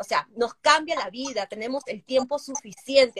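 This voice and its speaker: This woman's high-pitched voice moves at a fairly slow pace, with a dry, close sound and no echo. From Peru. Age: 30s. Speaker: digital marketer and entrepreneur. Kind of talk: casual interview chat. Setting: live stream.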